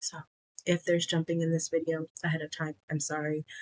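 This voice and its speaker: A soft-spoken voice comes through with a dry, close sound and no echo. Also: woman. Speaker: cross stitch vlogger. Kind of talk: casual vlog chat. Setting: home recording late at night. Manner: soft-spoken, keeping voice low.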